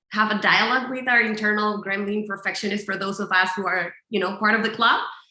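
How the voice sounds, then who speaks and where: At a fairly quick pace, a woman with medium pitch speaks in a strong Colombian accent. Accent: thick Colombian Spanish. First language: Spanish. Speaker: visual notes teacher, business founder. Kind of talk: webinar tutorial. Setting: video call webinar with screen sharing. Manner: animated, many fillers.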